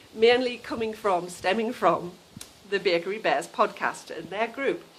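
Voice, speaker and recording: A woman's medium-pitched voice at a fairly slow pace, with noticeable background noise. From northern England. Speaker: knitting podcaster. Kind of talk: casual chat. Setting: outdoors. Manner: chatty, informal.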